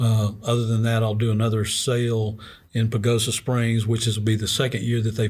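Somewhat breathy speech at a moderate pace in a monotone, flat intonation. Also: man. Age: 60s. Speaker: ceramic artist. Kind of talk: casual interview.

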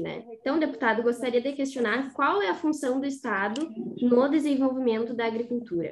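Her voice is high-pitched, and this woman speaks at a moderate pace. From Rosário do Sul, Rio Grande do Sul, Brazil. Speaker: agronomy student co-host. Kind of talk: interview questions.

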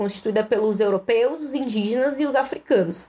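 A woman speaks at a moderate pace. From Rio Grande do Sul, Brazil (Canoas, Guaíba, Porto Alegre). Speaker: librarian and doctoral researcher. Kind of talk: casual podcast interview.

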